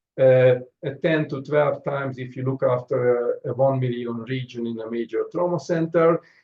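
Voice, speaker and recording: A somewhat breathy man with a non-native accent talks at a moderate pace. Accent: noticeable foreign. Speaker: trauma surgeon. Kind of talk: lecture. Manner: halting, frequent fillers.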